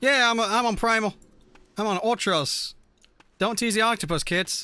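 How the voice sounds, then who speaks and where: At a moderate pace, a man with a high pitch projects a raised voice with a bright, sharp tone and ordinary pitch variation. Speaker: gaming streamer. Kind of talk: live stream chat while gaming. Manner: slurs words at times; animated.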